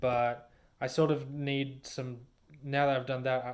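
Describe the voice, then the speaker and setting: Monotone, flat delivery from a man at medium pitch and a fairly slow pace. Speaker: vlogger and aspiring storyteller. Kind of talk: casual vlog monologue.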